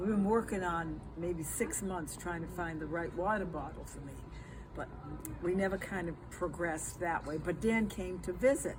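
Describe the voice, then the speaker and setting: Audible echo fills the room. A woman speaks at a moderate pace. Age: 80s+. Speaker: elderly vlogger reviewing a product. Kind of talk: casual product review chat. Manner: halting.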